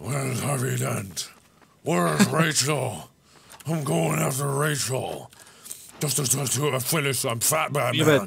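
A man's raspy, put-on character voice at medium pitch, fairly slow, with long, frequent pauses. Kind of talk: comic overacting. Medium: game stream. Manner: brooding, self-serious, growling.

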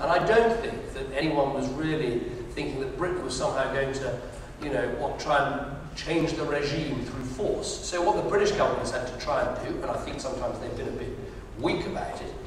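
Strong room echo and light background noise accompany a man speaking at a fairly quick pace. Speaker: politician at town hall. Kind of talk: answer to audience question. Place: hall.

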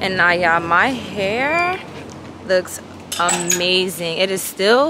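There is noticeable background noise behind a woman whose voice sounds dry with no echo. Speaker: vlogger. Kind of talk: casual vlog chat. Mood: playful, laughing, briefly annoyed. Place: street. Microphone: phone near.

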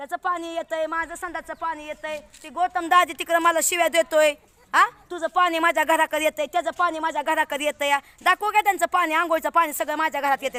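A woman talks in a high, raised and projected voice with an animated tone. The sound is dry and close with no echo, though background noise is noticeable. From Indapur taluka, Pune district, Maharashtra. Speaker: village resident vlogger. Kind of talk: complaint vlog walkthrough.

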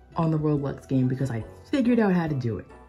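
A woman at a fairly quick pace, faint music in the background. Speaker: toy collector vlogger. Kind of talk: casual vlog chat. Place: home room. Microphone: phone near.

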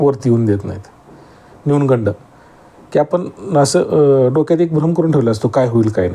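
With lively intonation and a fairly high pitch, a man talks against noticeable background noise. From Maharashtra, Sangli district (Atpadi). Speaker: farmer YouTuber. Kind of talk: casual vlog talk to camera.

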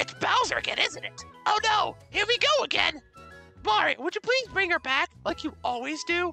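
Over clear background music, a man uses a put-on character voice with an extremely high pitch at a moderate pace.

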